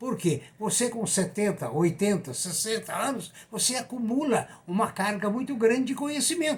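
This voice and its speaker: Over noticeable background noise, a man with a high-pitched voice speaks with lively intonation. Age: 80s+. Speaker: economics commentator, retired professor. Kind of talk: economic commentary monologue. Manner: conversational.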